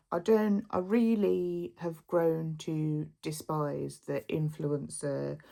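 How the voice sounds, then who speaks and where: A woman talks with a Birmingham accent. The recording is very clean, with a silent background. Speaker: lifestyle vlogger. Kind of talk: casual vlog talk to camera.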